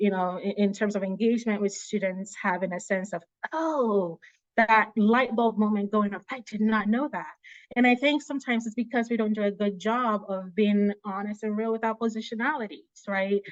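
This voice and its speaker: A woman with a normal speaking voice, fairly high in pitch, with ordinary pitch variation and a moderate pace. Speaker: presenter, public health policy researcher. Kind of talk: virtual panel presentation.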